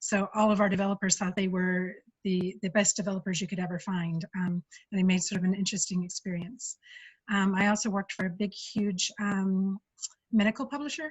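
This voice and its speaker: Somewhat breathy, a woman speaks with an American accent at a fairly quick pace. Her intonation stays fairly even. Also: medium pitch for a woman. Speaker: UX engineer giving a talk. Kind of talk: conference talk. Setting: video call. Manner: fast.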